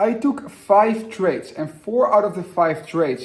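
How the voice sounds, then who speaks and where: Noticeable background noise sits behind a man with a non-native accent. He speaks at a fairly slow pace with lively intonation. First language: not English. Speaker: day trader and finance youtuber. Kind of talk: casual vlog-style talk to camera.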